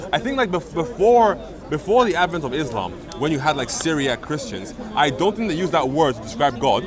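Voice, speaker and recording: Crowd noise fills the background as a man speaks with a Nigerian accent. His fairly high voice swings very widely in pitch. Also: fairly quick pace. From Nigeria (Igbo). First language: Igbo. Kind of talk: heated debate. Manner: halting.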